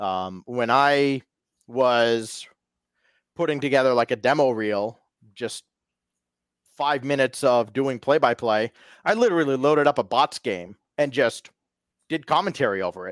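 A medium-pitched man at a moderate pace, with ordinary pitch variation and long, frequent pauses, in a very clean recording with a silent background and a dry, close sound without echo. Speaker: sports announcer and esports caster. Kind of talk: casual interview chat.

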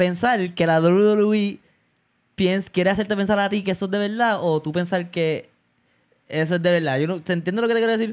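Fairly even intonation in a high-pitched male voice. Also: moderate pace. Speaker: podcast host. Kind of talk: casual chat.

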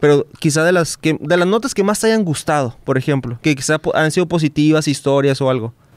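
At a fairly quick pace, a man speaks with a fairly high pitch, ordinary pitch variation and very even loudness. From Baja California Sur, Mexico. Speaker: podcast host. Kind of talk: casual interview chat. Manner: halting, with many repetitions.

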